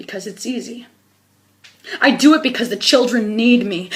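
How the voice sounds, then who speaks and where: A woman's intense voice at a moderate pace with ordinary pitch variation. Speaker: spoken word poet, activist. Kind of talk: spoken word poetry performance. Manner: emotional, intense.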